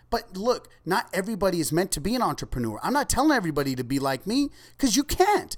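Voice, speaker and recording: A man's high-pitched voice with an American accent, very wide pitch swings and a very fast pace. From Ventura County, California. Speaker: entrepreneur. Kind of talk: interview.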